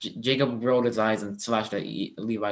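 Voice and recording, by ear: Someone is reading aloud in a natural voice, intonation fairly even throughout.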